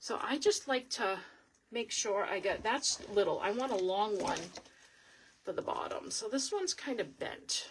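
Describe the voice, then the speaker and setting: Speaking in a strong Boston accent, a woman has a fairly high pitch and lively intonation. Her pace is moderate. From Boston, Massachusetts. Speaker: wreath crafter. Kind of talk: live craft tutorial. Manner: chatty, casual.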